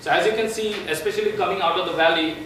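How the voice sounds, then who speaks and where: There is audible room echo and noticeable background noise. A man talks at a fairly quick pace with ordinary pitch variation. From India. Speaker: tech company evangelist. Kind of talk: tech presentation. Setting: meetup talk without microphone. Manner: loud. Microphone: no microphone, far from recording.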